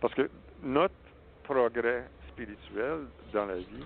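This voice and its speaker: The intonation here rises and falls in a lively way. It belongs to a man whose pitch sits in the middle range. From Saskatchewan, Canada (French-Canadian family). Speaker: spiritual healer. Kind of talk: interview.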